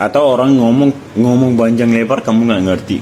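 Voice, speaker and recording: The speaker's tone is animated, at a moderate pace. Noticeable background noise runs underneath. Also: man. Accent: Arabic. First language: Arabic (speaking Indonesian). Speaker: content creator. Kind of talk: casual vlog monologue.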